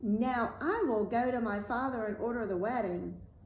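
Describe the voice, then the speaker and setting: A woman's put-on character voice, fairly high-pitched, at a moderate pace, over clear background noise. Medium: read story.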